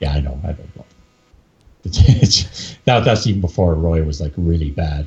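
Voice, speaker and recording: Somewhat breathy, this voice carries a Canadian accent. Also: man. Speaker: UFC MMA expert. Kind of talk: casual chat.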